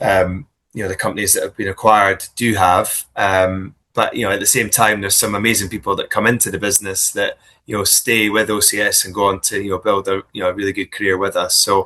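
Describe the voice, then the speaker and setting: Speaking at a very fast pace, a man with a Scottish accent has a fairly low pitch. His tone is bright and sharp, his intonation monotone and flat. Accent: Scottish, still noticeable. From Scotland. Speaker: business executive. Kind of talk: interview. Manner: hesitant, many fillers and repeats.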